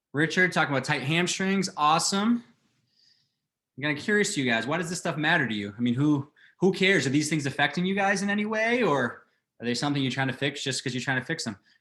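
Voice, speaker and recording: Against a quiet background, a man speaks very fast in a fairly high, bright, sharp voice with lively intonation. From Boston. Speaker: fitness coach. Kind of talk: webinar presentation. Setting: online webinar. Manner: animated.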